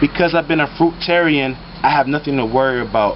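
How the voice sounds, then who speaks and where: Over noticeable background noise, a man with an American accent talks at a fairly high pitch with ordinary pitch variation. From United States. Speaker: spiritual teacher, vlogger. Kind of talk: vlog monologue. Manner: quiet; animated.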